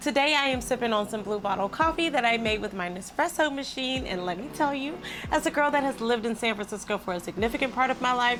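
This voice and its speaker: Over noticeable background noise, a woman speaks very fast in a high pitch, her intonation lively and her tone animated. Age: 30s. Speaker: lifestyle vlogger and model. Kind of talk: casual vlog chat.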